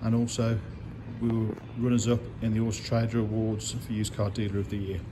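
Somewhat breathy and flat in a monotone, a man talks over noticeable background noise. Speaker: car salesperson. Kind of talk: sales walkaround commentary. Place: shop. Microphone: phone near.

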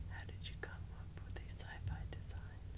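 At a moderate pace, the voice comes through over loud background noise. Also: woman. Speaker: ASMR creator. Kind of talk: whispered reading aloud, ASMR magazine reading. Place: home room.

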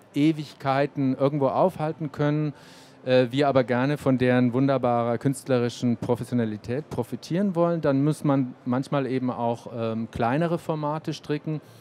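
A man's dark, mellow voice at medium pitch, moderate pace and ordinary pitch variation. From Germany, Erlangen (Franconia); Franconia, Germany. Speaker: cultural institute music director; panelist. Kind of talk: panel discussion. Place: hall. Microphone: handheld.

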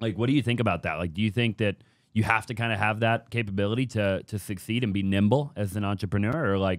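Against a quiet background with a dry sound and no echo, a man talks at a very fast pace in a fairly low voice. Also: ordinary pitch variation. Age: 20s. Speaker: podcast host and real estate business owner. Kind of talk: casual interview chat. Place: studio. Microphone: studio mic.

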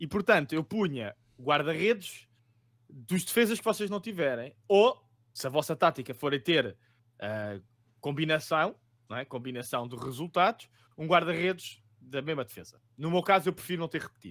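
A man's fairly high voice at a moderate pace, lively in intonation, with big swings in loudness and a quiet background. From Lisbon, Portugal; Portugal. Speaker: fantasy football podcast co-host. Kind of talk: casual chat about fantasy football tips. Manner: jokey, laid-back. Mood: relaxed, joking. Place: home room.

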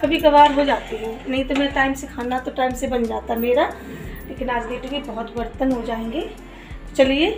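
A woman speaks at a fairly slow pace in a high pitch with fairly even intonation. There is light background noise and audible room echo. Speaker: home vlogger. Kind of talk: casual vlog chat. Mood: cheerful, chatty. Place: kitchen. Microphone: phone near.

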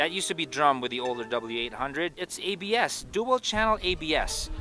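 A man talks at a fairly quick pace with a dry sound and no echo. Clear music plays in the background. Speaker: motorcycle reviewer. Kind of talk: product review commentary. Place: street.

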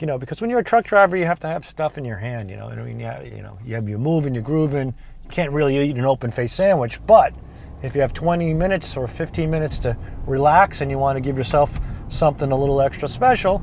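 A man speaks at a very fast pace with lively intonation and big swings in loudness. The sound is dry with no echo, and there is light background noise. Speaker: cooking show host. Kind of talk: casual vlog chat. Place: car. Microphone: lapel.

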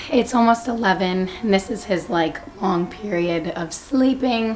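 With noticeable background noise behind her, a woman talks at a moderate pace with lively intonation. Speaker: mother vlogger. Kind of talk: casual vlog talk to camera. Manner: hushed, trying not to wake baby.

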